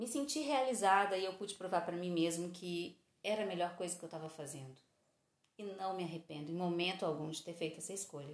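A woman with an ordinary speaking voice, fairly low in pitch with ordinary pitch variation, talks at a fairly quick pace. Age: 40s. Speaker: podcast host. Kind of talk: casual monologue.

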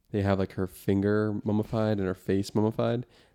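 A man's fairly low voice, dark and mellow in tone, with monotone, flat intonation. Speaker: podcast co-host, study abroad student. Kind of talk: casual chat. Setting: studio.

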